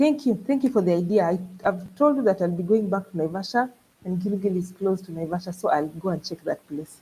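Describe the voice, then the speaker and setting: A woman at a medium pitch talks at a moderate pace in a somewhat breathy voice with lively intonation. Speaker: travel vlogger. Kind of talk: live stream chat with viewers. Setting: live stream. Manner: animated.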